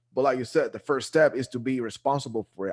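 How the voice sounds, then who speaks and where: Sounding dry and close with no echo, a man speaks with a Guatemalan accent. His medium pitch shows ordinary variation at a fairly quick pace. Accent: Guatemalan Spanish accent, noticeable. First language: Spanish. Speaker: real estate investor, show co-host. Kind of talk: casual interview chat. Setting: live video show.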